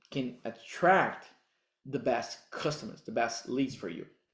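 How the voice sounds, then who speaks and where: A man's fairly high-pitched voice with a Brazilian accent, at a moderate pace, on a very clean recording with a silent background. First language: Portuguese. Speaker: digital marketing coach. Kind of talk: tutorial. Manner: halting non-native phrasing.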